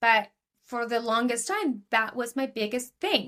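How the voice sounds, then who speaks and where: The woman has an Argentinian accent and a high pitch. Her recording is very clean, with a silent background. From Argentina. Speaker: business coach. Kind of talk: podcast interview.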